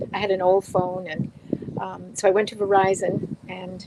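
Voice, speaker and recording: The sound is dry and close, with no echo. There is noticeable background noise. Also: woman. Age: 70s. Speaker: blogger sharing spiritual stories. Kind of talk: interview storytelling.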